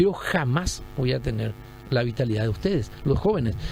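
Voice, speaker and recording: A man talks at a moderate pace, his pitch swinging very widely. Background music plays throughout. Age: 60s. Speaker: retired general, presidential pre-candidate. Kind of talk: radio interview. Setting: radio studio.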